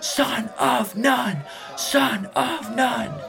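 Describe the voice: In a put-on character voice, a man shouts at an extremely high pitch with vocal fry and a very slow pace, while faint crowd noise and faint music sit in the background. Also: ordinary pitch variation, bright, sharp tone.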